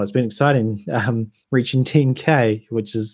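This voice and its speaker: A man speaks with a New Zealand accent. His pitch varies in an ordinary way. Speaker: whisky YouTuber. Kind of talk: livestream chat. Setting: livestream. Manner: casual, hesitant with ums.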